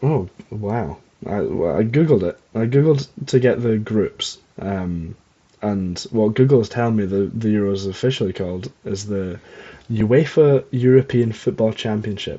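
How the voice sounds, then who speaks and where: A man speaks in a Scottish accent at a moderate pace. His pitch is fairly low, with ordinary variation. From Scotland. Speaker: podcast host. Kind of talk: casual chat. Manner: rambling with many fillers and hesitations. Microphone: not using usual mic, old one broken.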